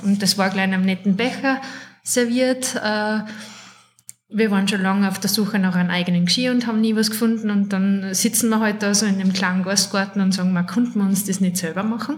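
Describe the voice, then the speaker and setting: A woman with a Salzburg accent speaks in a medium pitch, somewhat breathy, with very even loudness and fairly even intonation. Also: moderate pace. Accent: Salzburg Austrian. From Salzburg, Austria. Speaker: ceramicist and office worker. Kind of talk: casual interview.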